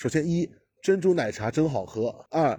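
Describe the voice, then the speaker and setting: This is a man's voice. It sounds somewhat breathy. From Shanghai. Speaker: podcast guest. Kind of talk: casual chat. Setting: remote online recording.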